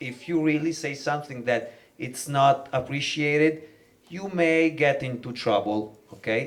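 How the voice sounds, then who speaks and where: A man with a Milanese accent. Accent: Italian (Milanese) accent in English. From northern Italy, Milan. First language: Italian. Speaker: rapper. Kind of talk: panel talk. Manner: halting, many fillers.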